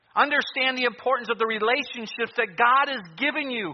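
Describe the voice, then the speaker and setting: A man talks at a moderate pace with an extremely high pitch. His pitch varies in an ordinary way, and background noise is noticeable. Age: 50s. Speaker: pastor. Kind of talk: sermon. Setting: church.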